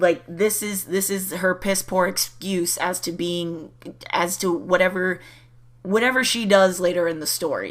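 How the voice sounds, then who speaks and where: A woman puts on a raspy character voice at a medium pitch, moving at a moderate pace with fairly even intonation. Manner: stuttering, flustered.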